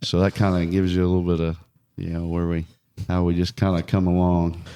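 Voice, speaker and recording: Mumbling at a very fast pace, a man speaks in a very deep, low voice with a dark, mellow tone and monotone, flat intonation on a very clean recording with a silent background. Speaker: evangelist preacher. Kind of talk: casual interview chat, testimony.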